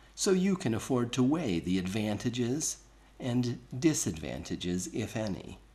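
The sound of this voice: A reading voice, unforced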